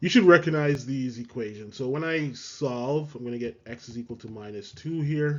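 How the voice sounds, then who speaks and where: A man talks in an ordinary speaking voice at a moderate pace, with ordinary pitch variation. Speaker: math teacher. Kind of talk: tutorial.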